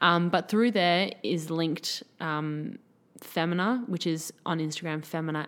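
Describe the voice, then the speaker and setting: A fairly low-pitched woman with an Australian accent, fairly slow, with ordinary pitch variation on a very clean recording with a silent background. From Sydney, Australia. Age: 20s. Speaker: personal trainer and former model. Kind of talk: casual interview chat.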